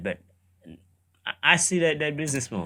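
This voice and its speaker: On a very clean recording with a silent background, a man with a Caribbean accent speaks at a moderate pace in a bright, sharp tone. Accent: Caribbean island. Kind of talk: casual reaction commentary.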